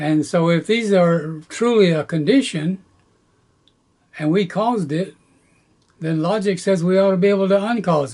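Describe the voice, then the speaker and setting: With a Southern US accent, a man talks at a moderate pace in a high pitch with ordinary pitch variation and long, frequent pauses. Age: 80s+. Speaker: gardening youtuber. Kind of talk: tutorial. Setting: outdoors.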